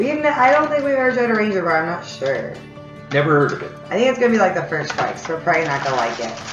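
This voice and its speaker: A woman's fairly low voice at a very fast pace, over clear music in the background. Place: home room. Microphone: camera far.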